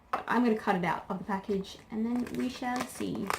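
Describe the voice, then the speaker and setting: A woman speaks fairly quickly in a fairly high voice with ordinary pitch variation, noticeable background noise behind her. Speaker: beauty and crafts YouTuber. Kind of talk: product unboxing review. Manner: casual, filler-heavy.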